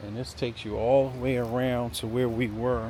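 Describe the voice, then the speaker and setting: A man's medium-pitched voice with an American accent, amid audible room echo. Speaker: real estate agent / video host. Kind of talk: property walkthrough tour. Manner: casual, conversational.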